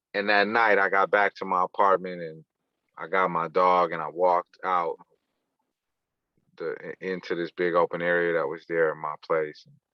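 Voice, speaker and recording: A man with an American accent speaks at a moderate pace in a very deep, low pitch. His intonation is monotone and flat, broken by long, frequent pauses. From US West Coast, East Oakland, California. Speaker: poet and artist. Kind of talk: casual interview storytelling. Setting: podcast.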